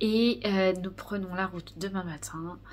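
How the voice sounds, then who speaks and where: A woman's fairly slow delivery with fairly even intonation. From Normandy, France. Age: 30s. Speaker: knitting podcaster. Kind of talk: casual vlog monologue. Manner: hesitant, many fillers.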